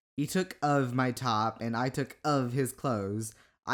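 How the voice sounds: The pitch varies in an ordinary way through this natural reading voice.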